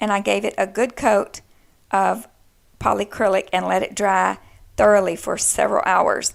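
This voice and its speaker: Someone with a Texan accent speaks at a moderate pace on a very clean recording with a silent background. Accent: Texan, noted by self. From Texas. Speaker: DIY crafter. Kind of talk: tutorial. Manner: casual, chatty.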